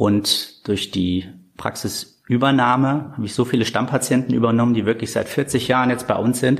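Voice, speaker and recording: Speaking at a moderate pace, a man uses a plain, everyday voice at a medium pitch. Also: fairly even intonation. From Germany, northern Hesse (Korbach). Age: 30s. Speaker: dentist and practice owner. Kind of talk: interview.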